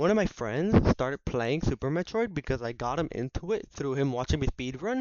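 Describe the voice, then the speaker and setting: Animated delivery with a Spanish accent, a fairly quick pace, and hardly any pauses. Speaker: gaming YouTuber. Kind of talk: casual monologue. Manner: halting.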